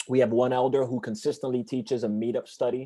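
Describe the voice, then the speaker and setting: A man with a Spanish accent speaks at a very fast pace in a flat monotone, his medium-pitched voice having a dark, mellow tone. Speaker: church evangelist. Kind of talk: interview. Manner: halting.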